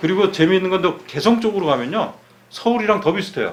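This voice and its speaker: A man's voice over noticeable background noise. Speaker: journalist and author. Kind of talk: interview.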